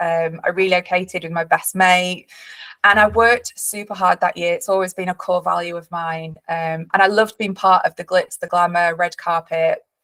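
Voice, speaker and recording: In a Yorkshire accent, a woman speaks at a medium pitch and moderate pace with flat, monotone intonation and big swings in loudness, in a dry, close sound with no echo. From northern England, Leeds. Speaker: company director and webinar host. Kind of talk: webinar presentation. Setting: online webinar.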